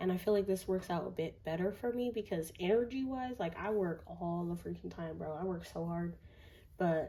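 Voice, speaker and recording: A woman's somewhat breathy voice, fairly low in pitch with a dark, mellow tone, ordinary pitch variation and a moderate pace. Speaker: tarot reader. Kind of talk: tarot reading monologue; casual chat to viewers. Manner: mellow, relaxed; casual, filler-heavy.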